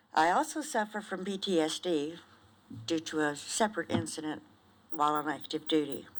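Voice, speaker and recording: Heard in a very clean recording with a silent background, a normal speaking voice moves at a moderate pace with ordinary pitch variation. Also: woman, fairly low pitch for a woman. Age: 60s. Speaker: retired nurse and veteran testifying. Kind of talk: formal testimony.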